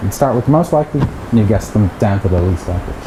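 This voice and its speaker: A man talks at a fairly quick pace with an Irish accent and lively intonation. Noticeable background noise runs under his voice. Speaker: mathematics researcher. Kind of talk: lecture. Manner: hesitant, repeats words.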